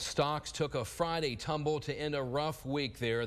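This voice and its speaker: Speaking with ordinary pitch variation and at a moderate pace, a man uses an ordinary speaking voice. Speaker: TV news anchor. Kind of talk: TV news anchor read.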